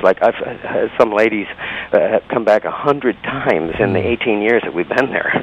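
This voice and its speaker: A man speaks at a moderate pace with a fairly low pitch and ordinary pitch variation, in a dry, close sound with no echo, over noticeable background noise. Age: 60s. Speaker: dancer and entertainer. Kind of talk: interview. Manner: halting, many fillers.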